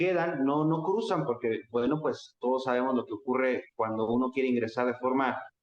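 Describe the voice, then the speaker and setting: A man speaks with a Mexican accent and ordinary pitch variation. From Mexico. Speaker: political activist and lecturer. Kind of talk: interview conversation.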